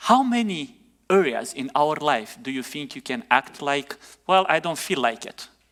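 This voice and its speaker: In a non-native accent, a man speaks at a moderate pace with a bright, sharp tone and lively intonation. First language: not English. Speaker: pastor. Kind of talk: sermon.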